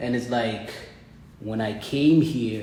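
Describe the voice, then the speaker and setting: A man at a medium pitch and fairly slow pace, with ordinary pitch variation, noticeable background noise and audible room echo. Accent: Ethiopian. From Ethiopia. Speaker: college student. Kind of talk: casual interview chat. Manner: halting, repetitive phrasing.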